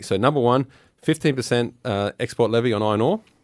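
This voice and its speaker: A very fast man with an Australian accent, ordinary pitch variation, dry, close sound with no echo, and a very clean recording with a silent background. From Australia, Cairns (Far North Queensland). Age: 40s. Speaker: political candidate. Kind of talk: interview.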